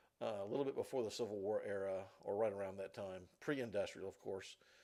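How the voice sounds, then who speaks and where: A man talks at a fairly quick pace with a Southern US accent. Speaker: college instructor. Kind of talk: lecture. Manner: halting, many fillers.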